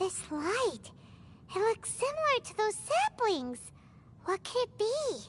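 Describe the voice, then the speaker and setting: In a put-on character voice that is squeaky and extremely high, the speaker swings very widely in pitch, moving at a fairly slow pace with long, frequent pauses over clear background noise. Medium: video game. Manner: excitable.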